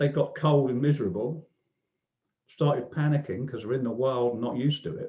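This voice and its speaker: A man's dark, mellow, somewhat breathy voice at a fairly quick pace. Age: 60s. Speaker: online discussion group participant. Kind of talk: casual chat. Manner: halting.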